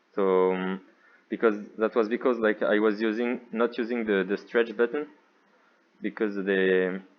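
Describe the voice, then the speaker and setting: With a French accent, this man talks in a fairly low voice with fairly even intonation. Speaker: VR developer intern. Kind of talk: software demo narration. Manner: hesitant, unfocused.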